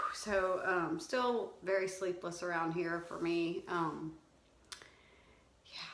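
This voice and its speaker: Amid audible room echo, a woman with a fairly low pitch speaks at a very slow pace, leaving long, frequent pauses. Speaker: homeschooling mom vlogger. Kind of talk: casual vlog update.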